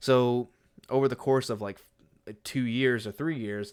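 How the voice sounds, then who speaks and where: Over a silent background in a very clean recording, a man with an American accent uses a normal speaking voice, medium in pitch with ordinary pitch variation, at a fairly quick pace. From United States. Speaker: podcaster and streamer. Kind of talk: casual solo podcast monologue. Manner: rambling with many fillers.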